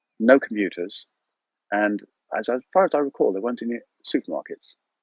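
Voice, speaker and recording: Here a man speaks in an English accent. His pace is very fast. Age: 60s. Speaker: yoga and breathwork teacher. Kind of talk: casual interview. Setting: outdoors on allotment, live video. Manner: halting, repetitive.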